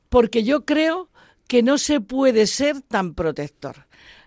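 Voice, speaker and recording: Here a woman is speaking. The recording is very clean with a silent background, and the sound is dry and close with no echo. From Madrid, Spain. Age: old. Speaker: president of a seniors' church movement. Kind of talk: radio interview. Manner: animated.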